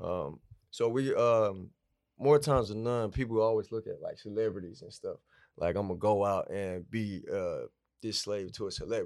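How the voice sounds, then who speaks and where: In a very clean recording with a silent background, a man of medium pitch speaks at a moderate pace with ordinary pitch variation. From Atlanta, Georgia. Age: 30s. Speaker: barber and business owner. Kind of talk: casual interview.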